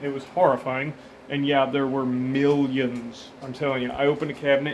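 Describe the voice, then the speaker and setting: A fairly high-pitched man at a fairly quick pace, with noticeable background noise. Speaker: pest control worker. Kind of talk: casual talk to camera. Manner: fast, disorganized, energetic.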